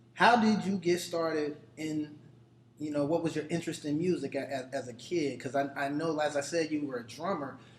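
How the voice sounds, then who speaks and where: A man speaks at a fairly high pitch. Noticeable background noise is audible. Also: ordinary pitch variation, fairly quick pace. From Dayton, Ohio. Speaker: podcast host. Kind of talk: interview. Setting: restaurant.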